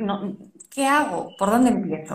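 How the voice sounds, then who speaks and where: A woman talks at a moderate pace with ordinary pitch variation. The room echo is audible. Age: 40s. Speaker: parenting podcast host. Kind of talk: interview.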